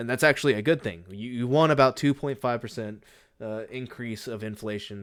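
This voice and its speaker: A man talks at a fairly quick pace with an American accent and ordinary pitch variation, in a normal speaking voice. The recording is very clean, with a silent background. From United States. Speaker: podcaster and streamer. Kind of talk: casual solo podcast monologue. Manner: rambling with many fillers.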